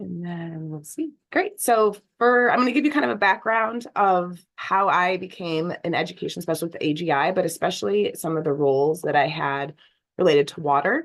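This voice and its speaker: A woman's fairly low voice at a moderate pace, full of lively intonation. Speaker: geoscience education specialist, former science teacher. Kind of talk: webinar presentation.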